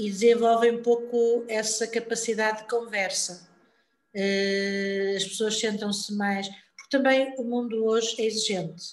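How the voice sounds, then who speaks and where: In a room with audible echo, a woman talks at a fairly slow pace and a fairly high pitch with monotone, flat intonation. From Portugal, born in Lisbon. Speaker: health worker. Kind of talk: casual interview. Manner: repetitive, halting.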